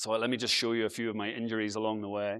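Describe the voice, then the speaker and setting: Speaking in an Irish accent at a medium pitch, a man moves at a fairly quick pace. The recording is very clean, with a silent background. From Ireland (Galway, Aran Islands). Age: 40s. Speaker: travel blogger and speaker. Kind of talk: conference talk. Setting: stage with audience. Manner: casual, conversational.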